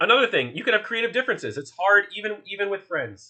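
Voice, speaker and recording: This man has a Philadelphia accent. He talks at a moderate pace. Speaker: workshop instructor, art collective organizer. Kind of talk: online workshop lecture. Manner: casual, many filler words.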